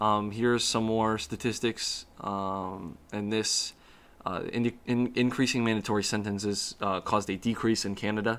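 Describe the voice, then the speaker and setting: His intonation stays monotone and flat. The man's pitch sits fairly low. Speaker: student. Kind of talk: class presentation. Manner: fast; halting, many fillers.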